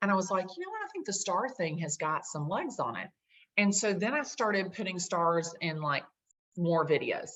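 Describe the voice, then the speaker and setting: A woman with a strong Southern US accent speaks at a moderate pace. Her medium-pitched voice has lively intonation. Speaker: realtor. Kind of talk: casual chat. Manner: animated.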